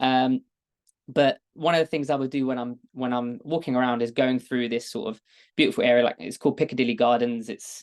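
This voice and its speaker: Speaking at a fairly quick pace with a British accent, the voice keeps a fairly even intonation over a quiet background, its sound dry and close with no echo. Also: man, medium pitch for a man. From London, England. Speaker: data engineer, product expert. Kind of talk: webinar presentation.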